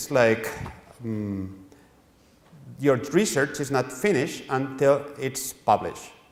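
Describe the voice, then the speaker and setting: Over noticeable background noise, a man with a Spanish accent speaks at a very slow pace, his medium pitch showing ordinary variation. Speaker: publishing editor. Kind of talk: lecture. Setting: workshop with audience. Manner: halting, with frequent repetitions.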